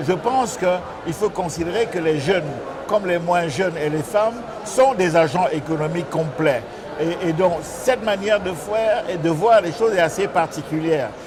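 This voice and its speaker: At a moderate pace, a man with a high pitch speaks amid noticeable background noise and audible room echo. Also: ordinary pitch variation. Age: 60s. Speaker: organic agriculture business leader. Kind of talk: interview. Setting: climate conference. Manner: halting, many fillers.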